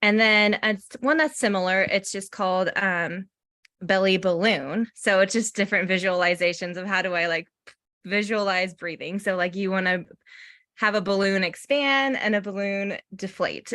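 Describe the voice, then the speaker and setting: The voice has a bright, sharp tone and ordinary pitch variation. The recording is very clean, with a silent background. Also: woman. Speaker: mental health counselor. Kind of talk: workshop presentation. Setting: parent workshop.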